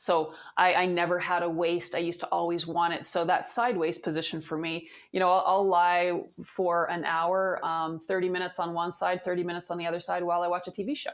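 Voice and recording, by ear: A woman speaks at a fairly quick pace with little pitch movement. Her pitch sits fairly low.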